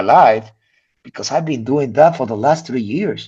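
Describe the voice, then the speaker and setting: At a moderate speed, a man talks with a non-native accent. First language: not English. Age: 50s. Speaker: physician. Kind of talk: casual chat. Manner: animated.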